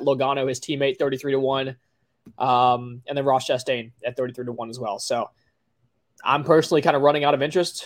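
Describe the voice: Using a put-on character voice, a man speaks raspily at a moderate pace and medium pitch.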